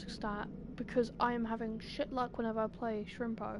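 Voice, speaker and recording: A woman speaks with a British accent. Her pitch is fairly high. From Britain. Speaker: gaming streamer. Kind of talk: live gameplay commentary. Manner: goes quiet during blackouts; animated.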